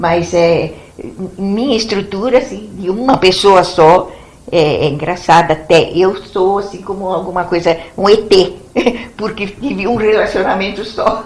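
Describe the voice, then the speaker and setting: A woman speaks fairly slowly at a medium pitch with ordinary pitch variation. Audible room echo and noticeable background noise surround her voice. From São Paulo state, Brazil. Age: 80s+. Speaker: retired biology teacher, blogger. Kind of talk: interview.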